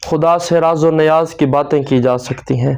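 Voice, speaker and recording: Monotone, flat delivery from a man, pitched fairly high. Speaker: Islamic preacher / religious video host. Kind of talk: religious sermon-style talk to camera.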